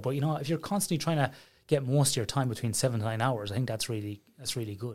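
On a very clean recording with a silent background, a man with an Irish accent speaks very fast at medium pitch, his voice somewhat breathy. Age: 40s. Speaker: sleep researcher. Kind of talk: casual interview chat.

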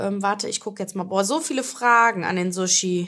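Her bright, sharp tone comes across as animated as the woman talks. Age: 20s. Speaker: podcast host and influencer. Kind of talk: casual chat.

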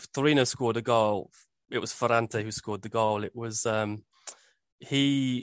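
With a Birmingham accent, a man speaks at a moderate pace with ordinary pitch variation in a dry, close sound with no echo. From Birmingham, England. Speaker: football podcast co-host. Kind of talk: casual chat.

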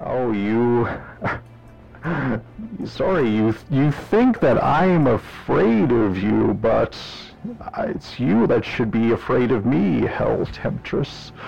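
A man speaks in a booming, put-on character voice at a medium pitch. He goes very slowly, with long, frequent pauses. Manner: menacing, taunting.

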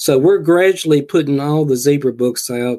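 Against a quiet background, a man with a Southern US accent talks at a moderate pace, his tone dark and mellow and his pitch fairly high. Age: 60s. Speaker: horror author. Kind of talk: interview.

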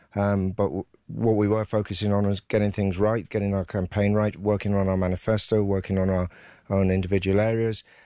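A man's fairly low, dark and mellow voice, monotone and flat, at a fairly quick pace in a very clean recording with a silent background. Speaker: political candidate. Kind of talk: radio interview. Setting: studio.

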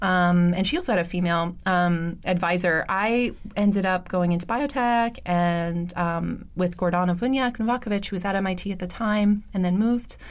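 Her intonation stays fairly even at a medium pitch. This woman uses a normal speaking voice and keeps a moderate pace. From New York City, Roosevelt Island. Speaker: biotech company CEO and co-founder. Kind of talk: interview. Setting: studio.

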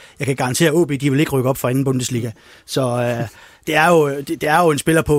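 The man's voice sits fairly high. He talks very fast with fairly even intonation. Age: 50s. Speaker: freelance sports journalist. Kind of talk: casual panel discussion.

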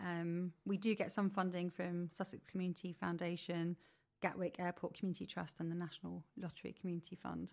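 A fairly low-pitched woman at a fairly quick pace, with monotone, flat intonation. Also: very clean recording, silent background. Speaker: community group volunteer. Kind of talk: radio interview.

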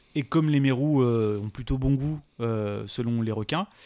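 This man has an unremarkable speaking voice at a medium pitch, moving at a moderate pace with ordinary pitch variation. The sound is dry and close with no echo, on a very clean recording with a silent background. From La Réunion. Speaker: science YouTuber. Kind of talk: casual interview chat.

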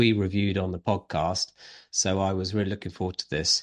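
A man with a British accent speaks at a moderate pace in a very deep, low pitch. The sound is dry and close with no echo, over a quiet background. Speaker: film podcast co-host. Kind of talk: casual chat.

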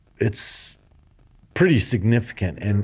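A man with an American accent speaks in an unremarkable speaking voice, fairly low in pitch. His intonation is lively, and the recording is very clean with a silent background. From US, Colorado (Denver). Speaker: ski boot company executive. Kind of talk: interview. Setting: company headquarters.

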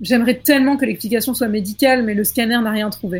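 A woman's fairly high, somewhat breathy voice at a very fast pace with fairly even intonation. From rural France. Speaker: scriptwriter, podcast panelist. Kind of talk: reading aloud horror stories.

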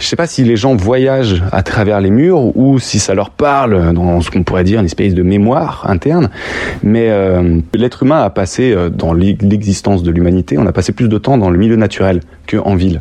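Over noticeable background noise, a man talks at a moderate pace with a fairly low pitch and lively intonation. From France, Lyon. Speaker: street artist, muralist. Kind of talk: interview. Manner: halting, many hesitations.

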